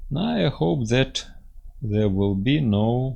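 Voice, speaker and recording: A man speaks in a somewhat breathy voice. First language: Russian. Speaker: engineering software teacher. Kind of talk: tutorial. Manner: halting, many fillers.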